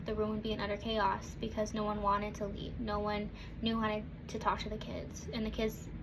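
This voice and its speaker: A woman at a moderate pace, fairly high in pitch, with monotone, flat intonation, amid noticeable background noise and audible room echo. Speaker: student. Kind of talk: class speech.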